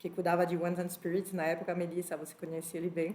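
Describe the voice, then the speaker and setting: A woman with a French accent. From France (born in Spain). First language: French (speaking Portuguese). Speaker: HR executive, panel speaker. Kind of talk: panel talk.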